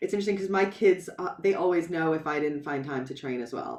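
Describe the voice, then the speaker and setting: This is a woman talking in an American accent. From New York. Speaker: boxing therapist. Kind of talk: podcast interview.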